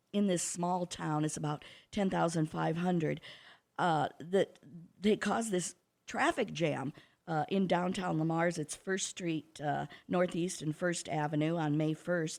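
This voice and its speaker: A woman with a Midwestern American accent speaks at a fairly low pitch and a fairly slow pace. Her intonation is fairly even, and the recording is very clean with a silent background. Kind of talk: radio interview. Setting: radio studio. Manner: talkative.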